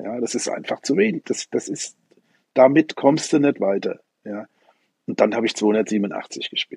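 At a fairly slow pace, a man speaks with long, frequent pauses. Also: dry, close sound with no echo. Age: 60s. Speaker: ninepin bowler and club president. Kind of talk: interview. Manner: repetitive, hesitant.

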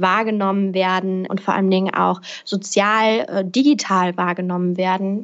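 A woman speaks at a moderate pace with an unremarkable speaking voice. Her pitch sits in the middle range and her intonation stays fairly even. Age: 20s. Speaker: podcaster and speaker on personal development. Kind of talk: interview.

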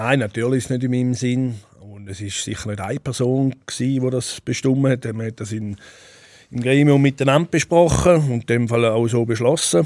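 A plain, everyday voice moves at a fairly quick pace, with big swings in loudness and ordinary pitch variation. The recording is very clean, with a silent background. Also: man, medium pitch for a man. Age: 40s. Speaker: Swiss wrestler. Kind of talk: interview.

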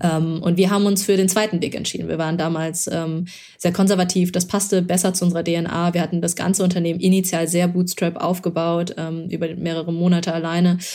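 Hardly pausing, a woman talks at a fairly quick pace in a fairly low pitch, her dark, mellow tone held in monotone, flat intonation. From Germany, Lower Rhine (Moers); born in China. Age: 30s. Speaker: startup founder and angel investor. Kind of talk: interview. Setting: studio.

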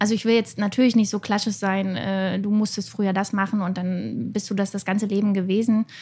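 A woman talks at a fairly quick pace with hardly any pauses, in a monotone, flat intonation at medium pitch. Her tone is dark and mellow, and somewhat breathy. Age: 30s. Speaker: self-employed graphic designer and online shop owner. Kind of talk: casual discussion.

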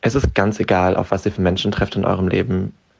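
Very deep and low in pitch, a man speaks at a very fast pace with fairly even intonation. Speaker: guest. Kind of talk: casual conversational.

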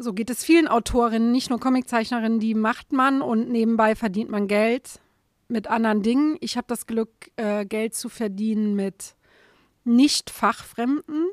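A woman's fairly high voice, fairly slow with long, frequent pauses and ordinary pitch variation, on a very clean recording with a silent background and a dry, close sound with no echo. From Saarland, Germany. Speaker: comic artist. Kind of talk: interview conversation.

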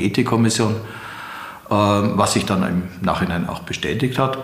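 A man with a fairly low pitch speaks at a moderate pace, with audible room echo around him. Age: 70s. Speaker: retired judge and prosecutor. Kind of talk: interview.

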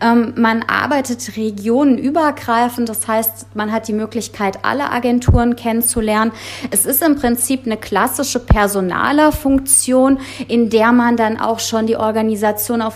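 Music plays in the background as a woman speaks. Her pitch is fairly high and her intonation fairly even. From Germany, Frankfurt am Main (Hesse). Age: 30s. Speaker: insurance sales trainer manager. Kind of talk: interview.

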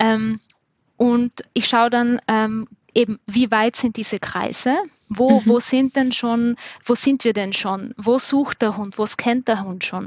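Her pitch sits fairly high and her intonation stays fairly even. The woman speaks at a very slow pace. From South Tyrol. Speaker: dog trainer. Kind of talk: casual interview.

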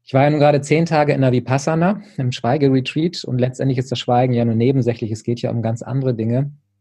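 This man talks at a very fast pace with hardly any pauses. His medium-pitched voice is dark, mellow and somewhat breathy, with ordinary pitch variation. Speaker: personal development coach. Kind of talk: interview.

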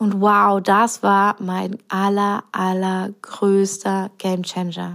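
Recorded very cleanly against a silent background, a woman speaks at a medium pitch in a monotone, flat way, very slowly and with hardly any pauses. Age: 30s. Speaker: podcast host and business coach. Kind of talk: solo podcast monologue. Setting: living room at home.

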